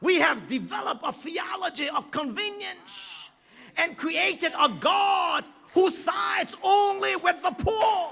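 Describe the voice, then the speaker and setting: A man's voice sits at an extremely high pitch. It is raised and projected, with a bright, sharp tone. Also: ordinary pitch variation, fairly slow pace. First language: not English. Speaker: guest preacher. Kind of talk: sermon. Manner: halting at times, repeats words.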